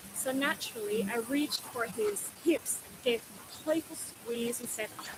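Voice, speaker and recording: A woman's fairly high voice at a moderate pace, with ordinary pitch variation, big swings in loudness and noticeable background noise. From Austria. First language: Austrian German. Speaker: linguistics researcher. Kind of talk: talk to an audience.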